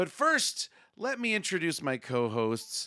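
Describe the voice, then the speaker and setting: A man's bright, sharp voice at a fairly slow pace. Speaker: podcast host. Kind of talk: casual chat.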